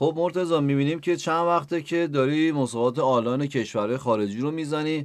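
Against a quiet background, a man talks at a very fast pace. His pitch is fairly high, with ordinary variation. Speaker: podcast host. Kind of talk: interview.

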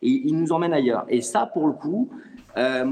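Speaking at a fairly slow pace, a man uses lively intonation and a fairly high pitch. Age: 40s. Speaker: acting coach. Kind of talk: panel discussion. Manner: halting, many repetitions.

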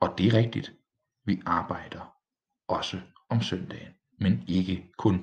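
Somewhat breathy, the voice proceeds at a very slow pace. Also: man. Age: 20s. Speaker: village pastor and podcaster. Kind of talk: casual solo monologue. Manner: hesitant, with filler sounds.

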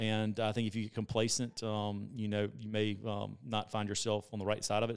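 In a Southern US accent, a man talks fairly quickly at a fairly low pitch, his intonation monotone and flat. The recording is very clean, with a silent background. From South Carolina. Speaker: entrepreneur. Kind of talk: interview.

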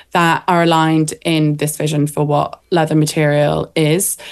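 A woman speaks with a Welsh Marches accent. Her pitch is fairly low. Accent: Welsh borders English. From North Wales / Shropshire border. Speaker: fashion designer and author. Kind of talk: interview.

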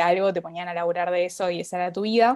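Against a quiet background, a speaker in a Rioplatense accent talks at a fairly quick pace with fairly even intonation. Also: woman. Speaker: podcast guest, literature enthusiast. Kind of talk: casual chat.

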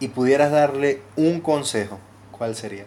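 Here a man has a normal speaking voice at a medium pitch. He talks fairly slowly with ordinary pitch variation. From Venezuela. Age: 20s. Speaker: podcast host. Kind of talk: casual interview.

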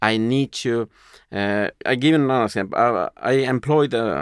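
A man speaks at a moderate pace with a Spanish accent and lively intonation. The recording is very clean with a silent background, and the sound is dry and close with no echo. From Uruguay, moved to Sweden at nine. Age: 40s. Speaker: entrepreneur and magazine publisher. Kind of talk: interview conversation.

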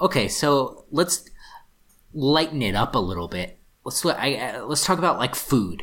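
Vocal fry in a fairly high male voice, with very wide pitch swings and a fairly slow pace. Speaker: podcast co-host. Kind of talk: casual chat. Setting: studio.

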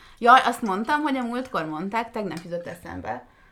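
Bright and sharp in tone, the voice carries vocal fry at a moderate pace. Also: woman. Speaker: podcast co-host. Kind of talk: casual chat. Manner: quiet.

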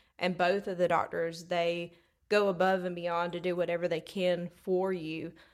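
On a very clean recording with a silent background, a woman with a Southern US accent speaks at a fairly low pitch in monotone, flat intonation. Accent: Southern US, noticeable drawl. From Alabama, US South. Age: 30s. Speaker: treatment coordinator at a dental practice. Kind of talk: casual interview chat. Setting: event venue in a church, in person. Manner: warm, friendly, laughs often.

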